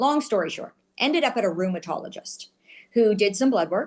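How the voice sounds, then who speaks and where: Her pitch moves in an ordinary way as the woman talks at a moderate speed. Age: 60s. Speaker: wellness podcast guest sharing health story. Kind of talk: interview testimony. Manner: hesitant with many fillers.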